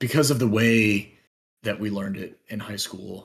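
In an unremarkable speaking voice, a man talks at medium pitch with ordinary pitch variation. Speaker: language learner. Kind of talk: casual chat.

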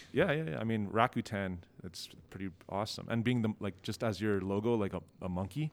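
With a Canadian accent, a man uses a normal speaking voice, fairly low in pitch, moving at a fairly quick pace with ordinary pitch variation. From Ontario, Canada. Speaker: film director. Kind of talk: casual interview. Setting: on site at a film festival.

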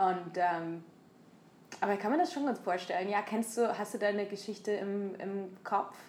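A woman with medium pitch talks fairly slowly, her intonation fairly even. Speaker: podcast co-host. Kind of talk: casual chat. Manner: halting, many fillers.

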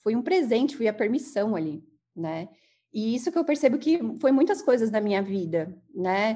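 A woman's pitch rises and falls very widely while she keeps a moderate pace. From São Bernardo do Campo, São Paulo, Brazil. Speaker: therapist, former athlete. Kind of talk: interview.

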